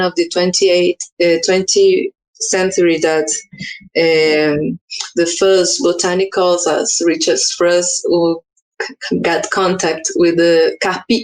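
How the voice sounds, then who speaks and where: A woman in a Portuguese accent, at a fairly slow pace. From Brazil, Amazonas state. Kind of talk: conference talk. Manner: halting.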